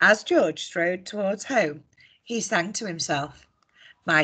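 Against a quiet background, the reading voice sounds natural.

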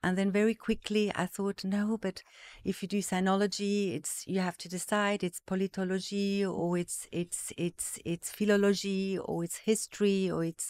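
Against a quiet background, a woman speaks at a moderate pace with hardly any pauses, in a monotone, flat intonation and a dry sound with no echo. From various African countries, Zimbabwe-born, Swiss parents. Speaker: art market executive. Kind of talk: casual interview. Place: studio. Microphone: studio mic.

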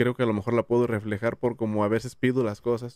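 A man with a medium pitch speaks at a moderate pace in a monotone, flat intonation. The background is quiet and the sound is dry with no echo. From Jalisco, Mexico (Tamazula); Jalisco, Mexico. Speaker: YouTuber; podcast guest. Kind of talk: casual chat. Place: studio. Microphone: studio mic.

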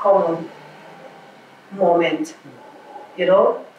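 Audible room echo and light background noise accompany a woman speaking at a fairly slow pace. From Mozambique. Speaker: musician; poet. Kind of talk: interview. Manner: halting. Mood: reflective, calm. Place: home room.

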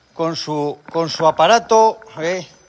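A man at a high pitch and a very slow pace. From Cantabria, Spain. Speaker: cattle farmer. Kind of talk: livestream chat. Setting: outdoors. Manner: animated. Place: farm machine. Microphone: phone near.

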